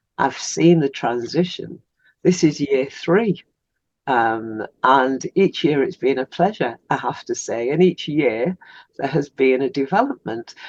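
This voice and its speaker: Speaking at a fairly slow pace with an English accent, a woman with a very deep, low pitch comes across in a dry, close sound with no echo against a quiet background. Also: lively intonation. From England. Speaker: podcast host. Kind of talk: interview.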